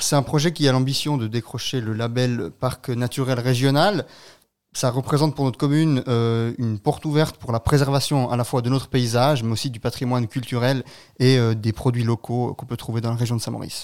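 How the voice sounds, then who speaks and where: A normal speaking voice at a fairly quick pace, fairly even in intonation, on a very clean recording with a silent background. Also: man, medium pitch for a man. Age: 20s. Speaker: local election candidate, student. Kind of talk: radio interview. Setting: studio.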